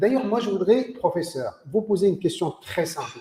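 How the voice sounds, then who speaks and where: A man's high-pitched voice at a moderate pace. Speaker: sports federation official and host. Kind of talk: interview. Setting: video call.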